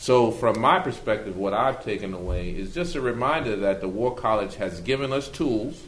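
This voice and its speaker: With audible room echo, a man in an American accent speaks at medium pitch and a moderate pace, using lively intonation and hardly any pauses. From Brooklyn, New York. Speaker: army officer. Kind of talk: panel discussion.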